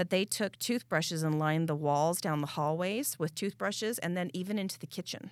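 Talking at a fairly quick pace with hardly any pauses, a woman with an ordinary speaking voice and a fairly low pitch uses ordinary pitch variation. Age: 40s. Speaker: podcast co-host. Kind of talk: casual chat.

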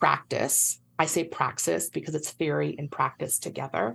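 A woman with vocal fry at a fairly slow pace, ordinary pitch variation, against a quiet background. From Puerto Rico. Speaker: nutrition and health educator, consultant. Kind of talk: interview conversation.

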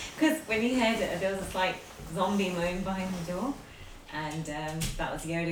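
A woman with a fairly low pitch speaks at a moderate pace with lively intonation. Audible room echo and noticeable background noise come through in the recording. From North London. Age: 30s. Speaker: gaming podcast co-host. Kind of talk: casual chat.

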